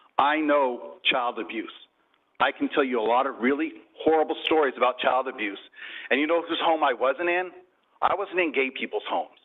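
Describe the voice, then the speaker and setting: A man with a fairly high pitch speaks at a moderate pace, using ordinary pitch variation. His speech has long, frequent pauses. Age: 60s. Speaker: retired social worker, public commenter. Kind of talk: public comment speech. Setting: city council meeting.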